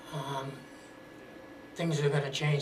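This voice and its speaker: An American accent, with audible room echo and noticeable background noise. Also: man. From Massachusetts, Somerville. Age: 60s. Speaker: talk show guest. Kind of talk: interview.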